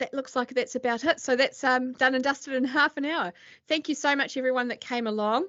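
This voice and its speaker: Speaking very fast, a woman with a New Zealand accent uses a high pitch and fairly even intonation. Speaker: accountant. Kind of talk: webinar presentation. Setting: video call. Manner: hesitant, many fillers.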